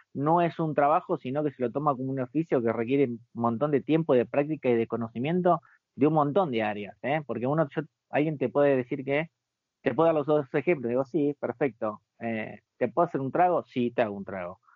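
An ordinary speaking voice from a man, fairly high in pitch with ordinary pitch variation, at a fairly quick pace. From Argentina, Buenos Aires. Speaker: bartender. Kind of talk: interview.

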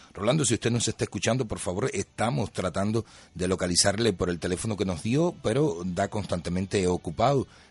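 At a fairly quick pace with hardly any pauses, a man with a normal speaking voice and fairly low pitch talks against a quiet background, the sound dry and close with no echo. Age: 50s. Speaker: radio host. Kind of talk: radio interview.

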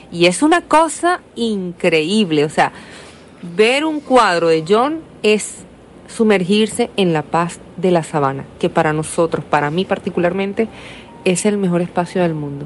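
Over noticeable background noise, a woman speaks at a fairly slow pace with a fairly low pitch. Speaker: radio host. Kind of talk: radio interview. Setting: radio studio.

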